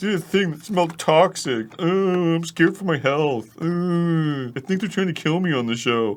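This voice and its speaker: A put-on character voice at a middle pitch and moderate pace, with hardly any pauses. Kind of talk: exaggerated, whiny. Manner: mocking.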